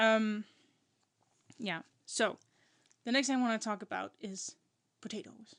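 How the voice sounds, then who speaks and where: A woman with a non-native accent speaks at a fairly slow pace and a fairly high pitch, with ordinary pitch variation and long, frequent pauses. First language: not English. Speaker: podcast co-host. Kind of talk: casual chat. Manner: halting.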